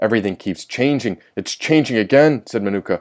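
This man has a plain, everyday voice. His pace is moderate. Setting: solo recording, audiobook video.

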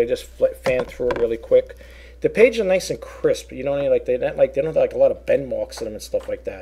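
Talking at a very fast pace with a New York accent, this voice shows big swings in loudness over light background noise. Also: man. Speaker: online reseller. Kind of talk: product showcase video; casual product showing chat. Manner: halting, filler-heavy. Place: home room. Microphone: webcam.

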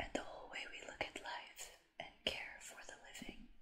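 A whispering woman at a moderate pace, with big swings in loudness. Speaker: content creator. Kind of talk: soft-spoken reading and chat to viewer. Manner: soft, hushed reading voice. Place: home room.

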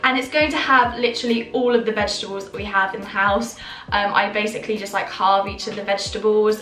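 At a fairly quick pace, a woman speaks with ordinary pitch variation. Faint music plays in the background, and room echo is audible. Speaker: vlogger. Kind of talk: casual vlog chat. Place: kitchen. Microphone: phone near.

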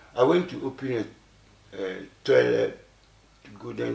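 A man talks at a fairly slow pace with a Ghanaian accent. Audible room echo surrounds his voice. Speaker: elderly artist. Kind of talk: interview, recounting memories. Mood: reflective storytelling. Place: studio.

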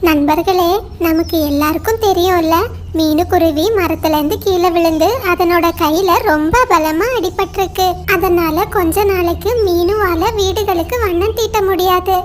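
Loud background noise accompanies a cartoonish character voice speaking at a fairly slow pace. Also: female-sounding voice, extremely high pitch for a woman. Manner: warm, caring.

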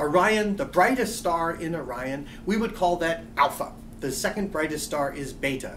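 Light background noise sits behind a man speaking at a moderate pace. His pitch is high and his intonation lively. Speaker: astronomy lecturer. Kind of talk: college lecture narration. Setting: quiet room. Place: office.

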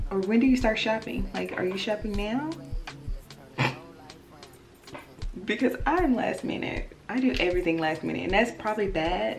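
Clear background music under a woman's moderately paced speech. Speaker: vlogger. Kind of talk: casual vlog chat. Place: home room.

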